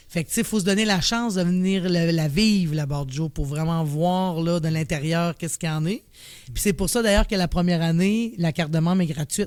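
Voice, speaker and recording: Fairly low in pitch, a woman speaks with ordinary pitch variation. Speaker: director of a mental health organization. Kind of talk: podcast interview. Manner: casual.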